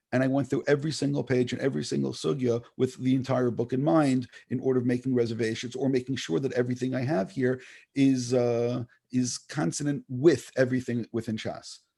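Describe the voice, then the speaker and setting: This man speaks at a fairly quick pace in a medium-pitched voice with a dark, mellow tone and fairly even intonation. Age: 60s. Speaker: rabbi and author. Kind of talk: interview. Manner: repetitive, halting restarts.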